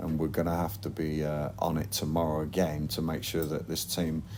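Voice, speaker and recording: A man talks with a strong Lancashire accent. His pitch is very deep and low, and his pace is moderate. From northern England, Blackburn. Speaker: football manager. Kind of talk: interview. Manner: hesitant, repetitive.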